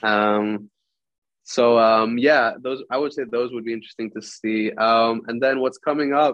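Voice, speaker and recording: A man with an American accent, medium in pitch, speaks in a normal speaking voice at a fairly slow pace with fairly even intonation. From Greek expat, grew up in various countries in American schools. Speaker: musician. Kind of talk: interview. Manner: casual.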